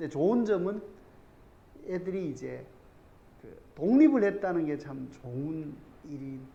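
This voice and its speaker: In a room with audible echo, a man with a Gyeongsang accent and a fairly high pitch talks at a very slow pace, with long, frequent pauses and big swings in loudness. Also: lively intonation. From South Korea, Andong (North Gyeongsang). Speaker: math academy teacher. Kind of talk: parent information session talk. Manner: informal, rambling with filler words.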